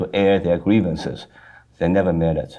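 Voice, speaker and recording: A man with a slight Chinese accent speaks at a fairly low pitch. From China. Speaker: foundation president. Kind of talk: interview.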